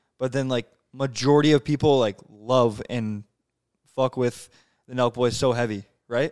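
On a very clean recording with a silent background, a man at medium pitch speaks with fairly even intonation and long, frequent pauses. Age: 20s. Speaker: podcast host. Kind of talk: casual chat. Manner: fast talker.

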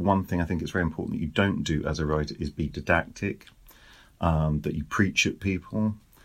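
A man speaks with a British accent at a fairly quick pace. His pitch variation is ordinary, and the recording is very clean with a silent background. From Britain. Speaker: author. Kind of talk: interview.

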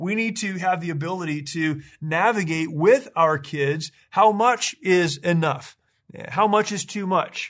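A man talks at a fairly slow pace. His pitch is high, with ordinary variation. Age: 40s. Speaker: podcast host. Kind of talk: solo commentary monologue.

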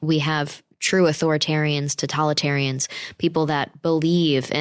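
A woman with a very deep, low voice speaks at a moderate pace in monotone, flat intonation. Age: 20s. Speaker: podcast host. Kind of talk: casual chat. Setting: studio. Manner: soft-spoken.

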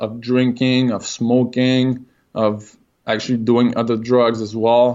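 Speaking in a Quebec accent, a man holds a monotone, flat intonation at a medium pitch. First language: French. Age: 20s. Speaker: person in recovery from alcohol. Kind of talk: interview. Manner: halting.

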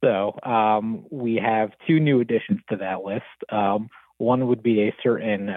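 A man with a plain, everyday voice speaks with an American accent at a fairly slow pace. His pitch is medium and his intonation fairly even. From New Jersey. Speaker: caller. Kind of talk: casual chat. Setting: phone call.

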